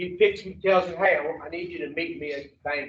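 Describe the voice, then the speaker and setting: Speaking at a fairly quick pace, a man with a Louisiana accent uses a high pitch and ordinary pitch variation. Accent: Louisiana Southern. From US South, Baton Rouge, Louisiana. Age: 60s. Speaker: addiction recovery counselor. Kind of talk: recovery education talk to treatment group. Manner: animated.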